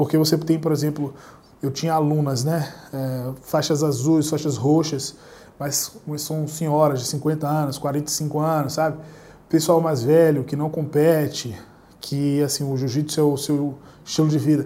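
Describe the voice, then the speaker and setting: A man's fairly high pitch with a dark, mellow tone and monotone, flat intonation. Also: fairly slow pace. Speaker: jiu-jitsu instructor and YouTuber. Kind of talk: solo Q&A monologue. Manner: casual, conversational.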